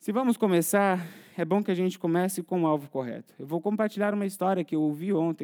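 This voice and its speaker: Dark, mellow tone with ordinary pitch variation, delivered at a very fast pace. The sound is dry and close with no echo, on a very clean recording with a silent background. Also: man. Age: 30s. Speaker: pastor. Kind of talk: sermon.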